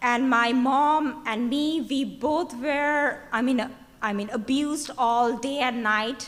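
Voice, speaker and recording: With a Bengali accent, a woman speaks at a high pitch and a very slow pace amid audible room echo. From Bangladesh. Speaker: activist. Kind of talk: conference speech. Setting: stage with audience. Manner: halting.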